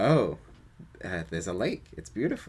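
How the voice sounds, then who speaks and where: There is vocal fry in this man's voice. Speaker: gratitude practice facilitator. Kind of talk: guided practice conversation. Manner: halting; voice quivers when speaking vulnerably.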